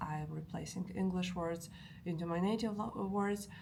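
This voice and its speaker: A woman with a Polish accent speaks at a moderate pace in a fairly low pitch, her intonation fairly even, with audible room echo. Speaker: language learning vlogger. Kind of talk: casual vlog talk. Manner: halting, many fillers.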